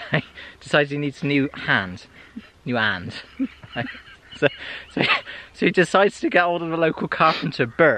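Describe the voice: A man speaks at a moderate pace with a fairly high pitch and a bright, sharp tone. His pitch swings widely, and he pauses long and often.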